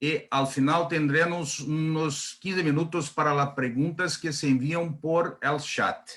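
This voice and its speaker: This man has a Brazilian accent and a fairly high pitch. His intonation is fairly even and his pace very slow. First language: Portuguese (speaking Spanish). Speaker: panel moderator. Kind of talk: formal event introduction. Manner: halting.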